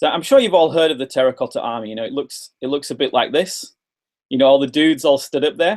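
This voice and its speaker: A man with a British accent speaks very fast in a fairly high voice, his pitch rising and falling in an ordinary way. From England. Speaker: English teacher trainer. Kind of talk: webinar presentation. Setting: video webinar. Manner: animated.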